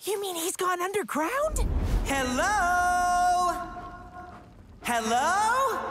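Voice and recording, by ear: Over loud background noise, a cartoonish character voice at extremely high pitch moves at a very slow pace with long, frequent pauses.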